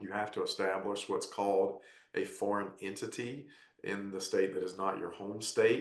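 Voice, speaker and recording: At a moderate pace, a man speaks with audible room echo. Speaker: tax advisor panelist. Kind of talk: webinar presentation.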